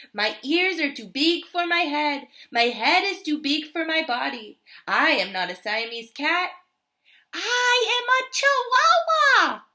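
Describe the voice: Putting on a squeaky character voice in a Spanish accent, a woman talks at a high pitch with very wide pitch swings, a fairly slow pace and long, frequent pauses.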